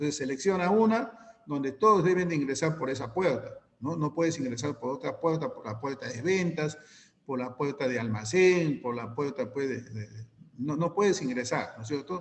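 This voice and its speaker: With noticeable background noise, a man talks at a fairly quick pace and fairly high pitch, his intonation lively. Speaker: teacher. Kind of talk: online class lecture. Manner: fast.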